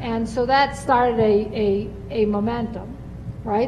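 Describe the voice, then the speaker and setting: Over noticeable background noise and audible room echo, a woman speaks with fairly high pitch and fairly even intonation. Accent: American. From US Northeast. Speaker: panelist, energy policy expert. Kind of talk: panel discussion.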